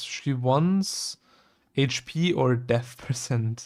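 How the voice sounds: A man speaks at a medium pitch with a slightly mellow tone.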